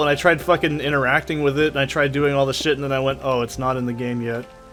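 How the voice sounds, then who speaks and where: A soft-spoken man at a fairly high pitch, fairly even intonation, music in the background. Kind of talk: casual, profane, gamer. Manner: speech impediment, soft t sounds.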